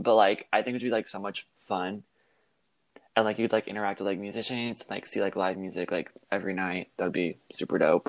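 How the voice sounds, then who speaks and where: A man talks in an ordinary speaking voice, fairly low, with an American accent. The sound is dry and close, with no echo. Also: fairly quick pace. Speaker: college student. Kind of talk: casual interview. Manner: frequent filler 'like'.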